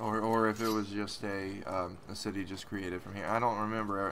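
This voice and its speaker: Noticeable background noise and audible room echo surround a man with an American accent and a fairly low pitch. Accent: Southern drawl when excited. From West Virginia. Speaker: gaming YouTuber. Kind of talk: let's play commentary. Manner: halting.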